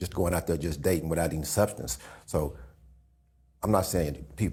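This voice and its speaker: A man speaks at a fairly quick pace with vocal fry. He leaves long, frequent pauses. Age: 60s. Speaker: podcast co-host. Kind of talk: casual chat.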